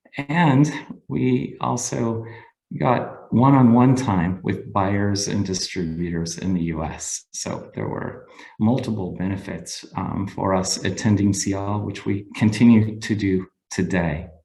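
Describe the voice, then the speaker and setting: In a room with audible echo, a man with an American accent speaks at a fairly slow pace. His voice is fairly low, with lively intonation. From United States. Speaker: cheesemaker. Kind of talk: webinar presentation. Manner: halting, many fillers.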